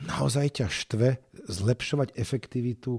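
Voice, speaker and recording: A man with a medium pitch and a dark, mellow tone speaks with lively intonation. The recording is very clean with a silent background, and the sound is dry and close with no echo. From Slovakia, Bratislava. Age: 40s. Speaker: nonprofit founder and philanthropist. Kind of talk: interview.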